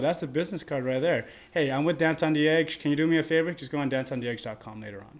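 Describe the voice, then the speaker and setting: On a very clean recording with a silent background, a man with a fairly high pitch talks at a very fast pace with ordinary pitch variation. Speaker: podcast co-host and dance event promoter. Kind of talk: casual chat. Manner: loud.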